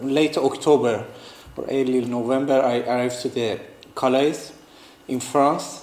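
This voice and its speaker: A man with a non-native accent talks at a medium pitch over noticeable background noise. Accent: non-native English, limited. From northeastern Iran. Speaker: artist and refugee. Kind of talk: talk to students. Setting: talk to a student audience. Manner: halting, many fillers and restarts.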